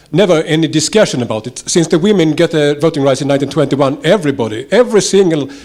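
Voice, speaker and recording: Against noticeable background noise, a man with a Swedish accent talks at a very fast pace with lively intonation. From Sweden. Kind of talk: audience question at conference. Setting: conference hall with audience. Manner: halting, many fillers.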